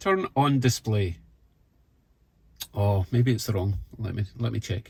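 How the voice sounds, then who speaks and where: A man with a Scottish accent speaks fairly slowly at a medium pitch. His voice is somewhat breathy, with ordinary pitch variation. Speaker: car hobbyist YouTuber. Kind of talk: product review tutorial. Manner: casual, conversational.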